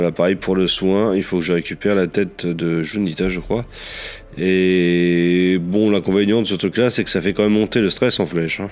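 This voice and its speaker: A man with a very deep, low pitch speaks at a moderate pace. His intonation stays fairly even. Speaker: gaming youtuber. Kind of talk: let's play commentary. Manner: hesitant, many fillers.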